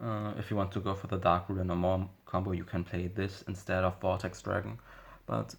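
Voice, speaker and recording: In a very clean recording with a silent background, a man with a non-native accent speaks at a moderate pace with a very deep, low pitch, somewhat breathy and with fairly even intonation. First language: not English. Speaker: Yu-Gi-Oh card game YouTuber. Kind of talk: deck profile tutorial. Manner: halting, many fillers and self-corrections.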